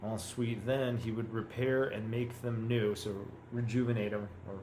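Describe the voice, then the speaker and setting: In a room with audible echo, a man with an American accent talks at a medium pitch and a moderate pace, his intonation monotone and flat. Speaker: language learner. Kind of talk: reading practice with commentary. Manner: halting.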